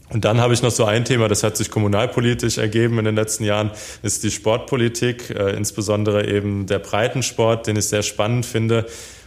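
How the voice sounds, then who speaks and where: A man talks at a fairly quick pace with a fairly low pitch. His intonation is monotone and flat, and his loudness stays very even. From Hesse, Germany (Darmstadt). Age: 20s. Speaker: politician. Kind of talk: interview. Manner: hesitant, many fillers.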